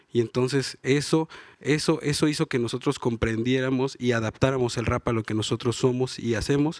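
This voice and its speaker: A man in a normal speaking voice talks at a moderate pace with medium pitch and fairly even intonation, on a very clean, dry, close recording with a silent background and no echo. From Juchitán, Oaxaca, Mexico. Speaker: rapper. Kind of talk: live panel interview. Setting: stage with audience at book fair.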